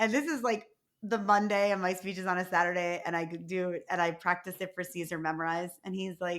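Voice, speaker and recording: A woman speaks with a New York accent. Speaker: podcast host and keynote speaker. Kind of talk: casual interview chat. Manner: fast talker.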